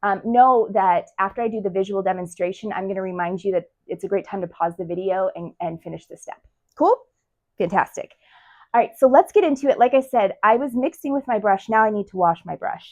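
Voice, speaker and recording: A woman speaks at a fairly quick pace in an animated tone, her loudness swinging widely while her pitch varies in an ordinary way. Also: medium pitch for a woman. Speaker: art teacher. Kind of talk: tutorial. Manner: fast.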